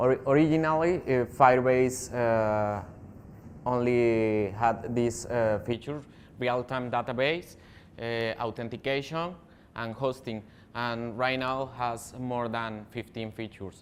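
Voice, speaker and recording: A man's medium-pitched voice at a very slow pace, with fairly even intonation. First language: not English. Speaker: software developer, tech speaker. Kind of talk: technical talk. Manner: halting, many fillers.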